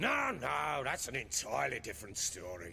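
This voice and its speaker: Over clear background noise, a man uses a put-on character voice at a moderate pace. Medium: video game. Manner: coarse, blunt, crude oaths.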